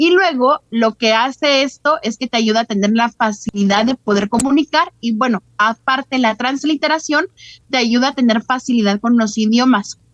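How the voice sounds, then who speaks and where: This woman's high-pitched voice keeps a very even loudness, with ordinary pitch variation and a moderate pace. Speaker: holistic therapy facilitator. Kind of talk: interview.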